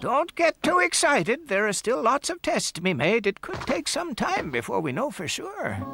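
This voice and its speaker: A man's cartoonish character voice, extremely high in pitch, with very wide pitch swings. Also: moderate pace. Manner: distracted, pedantic.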